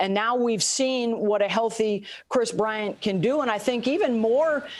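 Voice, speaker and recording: Through noticeable background noise, a woman speaks at a moderate pace with a fairly high pitch and lively intonation. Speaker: sports broadcaster, play-by-play announcer. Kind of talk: sports interview answer.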